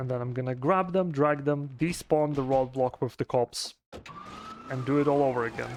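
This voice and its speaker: With a non-native accent, a man talks in a fairly even intonation. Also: medium pitch for a man, moderate pace. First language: not English. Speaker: speedrunner. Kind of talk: live gameplay commentary. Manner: hesitant, many fillers.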